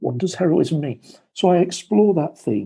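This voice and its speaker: A man's dark, mellow tone with a British accent and lively intonation. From England. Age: 60s. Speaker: former broadcasting executive and author. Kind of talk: interview storytelling.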